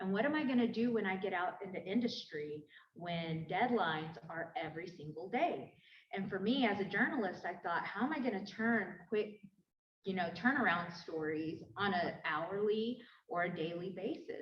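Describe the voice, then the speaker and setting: A woman with a medium pitch talks with lively intonation, and some room echo can be heard. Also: moderate pace. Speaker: journalist and academic. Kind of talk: panel discussion.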